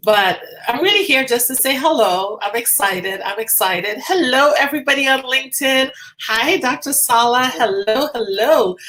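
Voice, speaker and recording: A woman with a Trinidadian accent speaks at a moderate pace in a high pitch, her voice raised and projected. Her intonation is lively, and there is noticeable background noise. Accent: Trinidadian (Caribbean). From Tobago, Trinidad and Tobago. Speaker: physician. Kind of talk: casual livestream check-in. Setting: live video stream.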